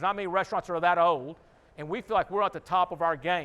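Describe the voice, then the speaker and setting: A man speaks with a Texan accent. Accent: Texan American English. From Houston, Texas. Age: 60s. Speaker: restaurant owner. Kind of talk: conference talk. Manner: casual, conversational.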